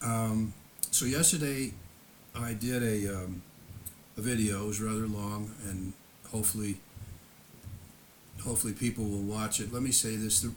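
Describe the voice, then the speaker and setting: At a moderate pace, a man with a fairly low pitch speaks somewhat breathily in fairly even intonation, leaving long, frequent pauses. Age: 70s. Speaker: YouTuber recounting personal history. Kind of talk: casual monologue. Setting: home, seated in lawn chair before camera. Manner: halting.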